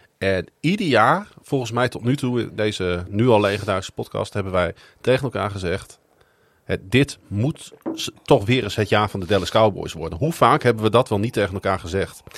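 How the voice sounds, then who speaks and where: The recording is very clean, with a silent background, and a man speaks in an ordinary speaking voice. His pitch is fairly low, with ordinary pitch variation at a moderate pace. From Netherlands, Groningen. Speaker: podcast host. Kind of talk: casual chat.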